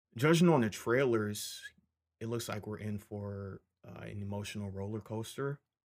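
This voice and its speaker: A man with an American accent speaks at a moderate pace in a somewhat breathy voice. The recording is very clean, with a silent background. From Michigan. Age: 20s. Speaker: podcast host, film commentator. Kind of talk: solo casual commentary. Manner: casual, many fillers.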